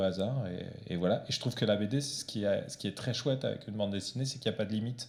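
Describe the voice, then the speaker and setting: This man's voice sits fairly low, and his pitch moves with ordinary variation. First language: Portuguese (speaking French). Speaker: comic book author. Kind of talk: author talk with audience. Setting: library event with audience. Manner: hesitant, many fillers.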